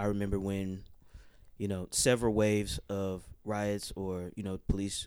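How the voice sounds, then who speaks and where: A man with a fairly low pitch talks at a moderate pace. His intonation is monotone and flat. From Oakland, California. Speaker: music producer and crew member. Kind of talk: interview conversation.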